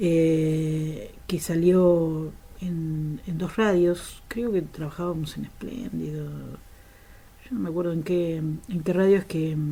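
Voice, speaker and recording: Her pace is very slow, with hardly any pauses. The woman has a fairly low pitch and ordinary pitch variation. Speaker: radio host and journalist. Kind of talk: interview answer.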